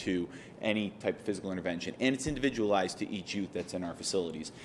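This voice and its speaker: Audible room echo surrounds a man whose fairly low voice shows ordinary pitch variation. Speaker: state agency quality assurance director. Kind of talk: conference presentation. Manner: fast.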